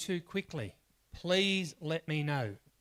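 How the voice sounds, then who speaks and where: On a very clean recording with a silent background and a dry, close sound with no echo, a man has a fairly high pitch, ordinary pitch variation and an unremarkable speaking voice. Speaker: workshop trainer. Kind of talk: workshop lecture.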